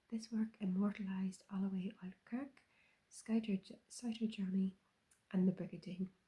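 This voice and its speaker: A soft-spoken woman talks at a medium pitch in a dark, mellow tone, somewhat breathy, with monotone, flat intonation. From Ireland. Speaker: ASMR creator. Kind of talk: ASMR soft-spoken chat.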